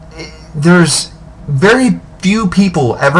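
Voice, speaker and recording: With lively intonation, a man talks while noticeable background noise continues behind him. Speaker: video blogger. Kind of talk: monologue to webcam. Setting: webcam at home. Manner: halting, stammering. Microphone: webcam, poor quality.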